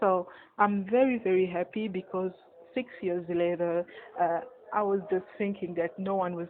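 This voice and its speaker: A woman with a French accent, medium in pitch, at a fairly slow pace and with fairly even intonation. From Republic of Congo. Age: 20s. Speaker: magazine editor and media entrepreneur. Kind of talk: personal story monologue. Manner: hesitant, many fillers and repeats.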